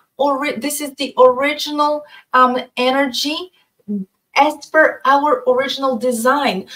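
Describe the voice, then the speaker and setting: The woman's voice is high-pitched, with a bright, sharp tone. She talks at a fairly slow pace with fairly even intonation. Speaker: astrologer and researcher. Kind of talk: interview conversation. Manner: halting.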